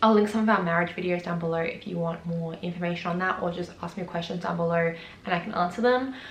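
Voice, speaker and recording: A woman with an Australian accent at a very fast pace, fairly low in pitch with fairly even intonation, with audible room echo and noticeable background noise. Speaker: vlogger. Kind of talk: casual vlog talk.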